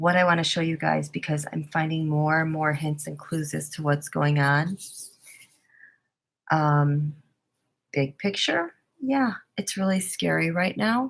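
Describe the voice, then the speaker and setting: An American accent at a fairly slow pace, with ordinary pitch variation and long, frequent pauses. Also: woman, very deep, low pitch for a woman. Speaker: tarot reader. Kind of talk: casual monologue. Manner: halting, many fillers.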